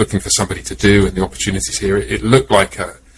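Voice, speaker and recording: Talking at a very fast pace, a man with an English accent uses a fairly low pitch and very wide pitch swings. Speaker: pastor. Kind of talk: casual chat. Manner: halting.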